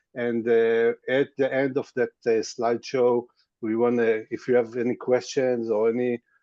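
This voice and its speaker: A man talks with an Israeli accent at a medium pitch and a moderate pace. The sound is dry and close, with no echo. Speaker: tour guide. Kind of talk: webinar presentation. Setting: video call. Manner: halting, many fillers.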